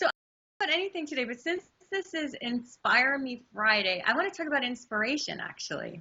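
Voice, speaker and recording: The delivery is animated and fairly quick, with very wide pitch swings. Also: woman, high pitch for a woman. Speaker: astrology and numerology forecaster, intuition teacher. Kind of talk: interview.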